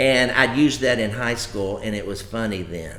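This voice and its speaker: Someone with an American accent speaks at a fairly slow pace with ordinary pitch variation and audible room echo. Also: man. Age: 60s. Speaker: comedian. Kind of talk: casual chat. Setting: live stream from home.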